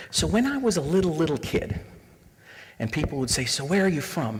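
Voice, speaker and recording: The room echo is audible as a man talks at a fairly quick pace. He has a Canadian accent. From Canada, Toronto area (Scarborough). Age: 40s. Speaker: diversity trainer. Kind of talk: lecture. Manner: animated.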